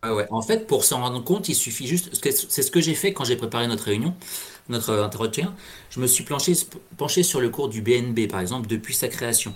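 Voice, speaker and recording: Somewhat breathy, a man speaks at a moderate pace. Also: medium pitch for a man, lively intonation. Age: 40s. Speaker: payroll worker and amateur trader. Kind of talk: interview. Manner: halting.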